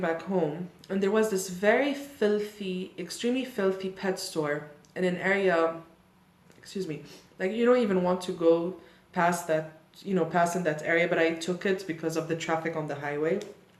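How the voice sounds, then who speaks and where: Amid noticeable background noise and audible room echo, a woman speaks at a moderate pace and medium pitch. Her tone is animated, with ordinary pitch variation. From Lebanon. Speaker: YouTuber and opera singer. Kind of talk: casual chat, get-to-know-me Q&A. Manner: chatty, animated.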